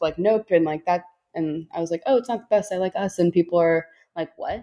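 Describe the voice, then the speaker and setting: A woman's ordinary speaking voice at medium pitch, with an American accent, a moderate pace and fairly even intonation. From Chicago. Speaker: film critic guest. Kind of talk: casual chat.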